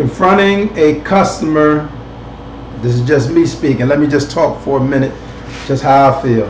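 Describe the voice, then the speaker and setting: The voice moves at a moderate pace with ordinary pitch variation and long, frequent pauses, heard with audible room echo and light background noise. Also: man. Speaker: online show host. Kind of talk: casual commentary. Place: home room. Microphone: webcam.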